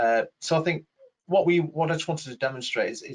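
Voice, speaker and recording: A man's somewhat breathy voice at a very fast pace. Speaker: webinar facilitator. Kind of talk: webinar Q&A. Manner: hesitant, many fillers.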